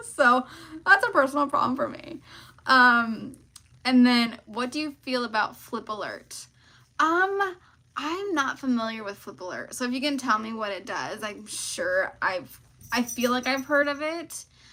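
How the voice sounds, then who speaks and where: A woman's raised, projected voice, high-pitched with a bright, sharp tone, lively intonation, big swings in loudness and a fairly slow pace. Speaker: online seller and e-commerce coach. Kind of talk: live stream Q&A. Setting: live stream. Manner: casual with many fillers.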